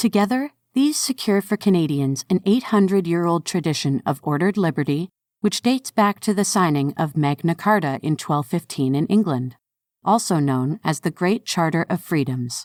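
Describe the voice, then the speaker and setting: A woman with a plain, everyday voice, fairly low in pitch, with lively intonation, a moderate pace and very even loudness, in a very clean recording with a silent background and a dry, close sound with no echo. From Canada. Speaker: narrator. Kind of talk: reading aloud.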